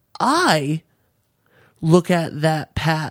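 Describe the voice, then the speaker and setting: In a dry, close recording with no echo, a man with a fairly high pitch speaks in a monotone, flat intonation. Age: 20s. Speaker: podcast co-host. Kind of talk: casual chat.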